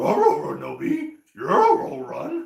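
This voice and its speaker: Through a slight echo, an extremely high-pitched, put-on character voice speaks at a fairly slow pace. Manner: comic imitation.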